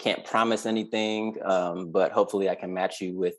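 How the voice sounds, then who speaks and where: Against a quiet background, a man with a fairly low pitch talks at a fairly quick pace in a monotone, flat intonation. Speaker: rapper and wrestling music artist. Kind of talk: casual group interview chat.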